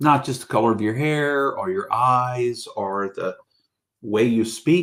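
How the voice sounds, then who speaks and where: A man talks at a fairly slow pace. His pitch is medium, with ordinary pitch variation. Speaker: pastor. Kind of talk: sermon. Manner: calm.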